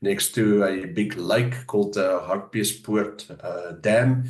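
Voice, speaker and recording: Over music in the background, a man with a South African accent speaks at a medium pitch. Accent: South African Afrikaans. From South Africa, Johannesburg area. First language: Afrikaans. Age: 50s. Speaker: pastor. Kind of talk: interview. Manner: hesitant, many fillers.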